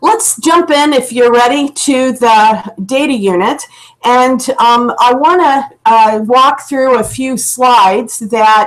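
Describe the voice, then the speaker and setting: Speaking at a very slow pace, a woman with an American accent has a high pitch and ordinary pitch variation. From US South. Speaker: computer science educator. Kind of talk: online presentation. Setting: video call from home office.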